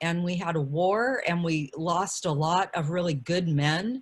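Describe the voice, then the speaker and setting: The woman's voice is fairly low in pitch and somewhat breathy. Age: 60s. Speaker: panelist, community elder. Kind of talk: panel discussion.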